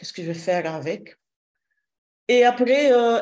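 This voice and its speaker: A woman speaks with a slight non-native accent. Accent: slight foreign accent in French. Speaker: shiatsu therapist and trainer. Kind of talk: interview. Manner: halting, many hesitations.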